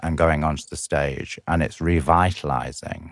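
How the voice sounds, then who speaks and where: A man's very deep, low voice with vocal fry at a moderate pace, on a very clean recording with a silent background. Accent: Lancashire. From northwest England, Blackpool. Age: 50s. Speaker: performance artist. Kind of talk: interview storytelling.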